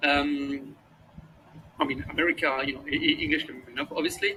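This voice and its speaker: A man speaks with a French accent. His pace is fairly quick. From France. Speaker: startup co-founder. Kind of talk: interview. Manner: halting, many fillers and repetitions.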